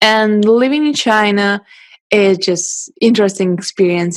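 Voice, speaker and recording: Moderate pace and ordinary pitch variation, with a Russian accent. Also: woman. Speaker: photographer and podcast host. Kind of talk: interview.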